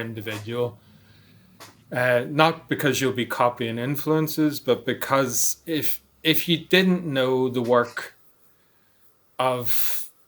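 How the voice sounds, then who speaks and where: A man in a Northern Irish accent at medium pitch, a very slow pace and ordinary pitch variation. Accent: Northern Irish, noticeable. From Northern Ireland, Belfast. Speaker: noise musician and artist. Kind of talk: interview.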